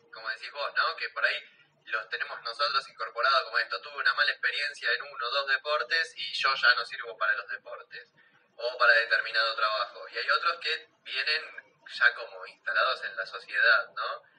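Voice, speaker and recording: A man talks at a moderate pace. His loudness swings in big ways. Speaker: radio host. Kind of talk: radio interview.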